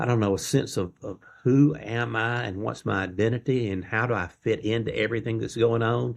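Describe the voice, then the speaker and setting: With a Mississippi accent, a man of medium pitch talks at a fairly quick pace with hardly any pauses and fairly even intonation against a quiet background. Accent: Southern US (Mississippi). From Mississippi, US South. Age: 60s. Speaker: faith-based life coach. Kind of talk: interview conversation.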